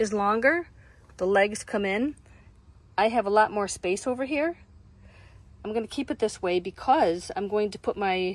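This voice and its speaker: Delivery runs at a moderate pace with long, frequent pauses. The sound is dry with no echo. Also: woman. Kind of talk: tutorial. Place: car. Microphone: phone near.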